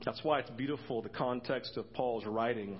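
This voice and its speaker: A man speaks in an ordinary speaking voice at medium pitch, with ordinary pitch variation and a moderate pace. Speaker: pastor. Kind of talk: sermon. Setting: church.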